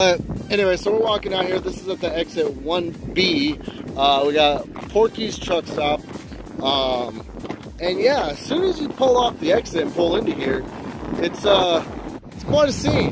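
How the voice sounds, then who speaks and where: The speech moves at a fairly slow pace in a dry sound with no echo, with noticeable background noise behind it. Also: man. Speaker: truck driver vlogger. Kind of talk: casual vlog chat. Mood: amused, joking. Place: street. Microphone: phone near.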